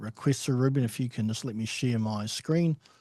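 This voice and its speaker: Over a quiet background, a man speaks with a New Zealand accent at a medium pitch, with ordinary pitch variation. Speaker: home care agency director. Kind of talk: webinar presentation. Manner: halting, many fillers.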